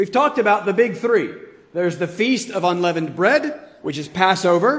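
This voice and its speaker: This man's voice is high-pitched, with lively intonation. Room echo is audible. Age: 30s. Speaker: pastor. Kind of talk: sermon. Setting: church.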